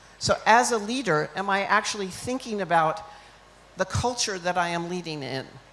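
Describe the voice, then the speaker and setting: Speaking with an American accent, the voice shows ordinary pitch variation over noticeable background noise. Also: woman. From United States. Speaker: leadership consultant, keynote speaker. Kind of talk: keynote speech. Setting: conference stage with audience.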